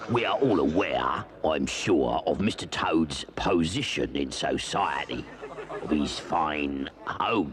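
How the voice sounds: Through clear background noise comes a cartoonish character voice with lively intonation at a fairly slow pace. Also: man, very deep, low pitch for a man.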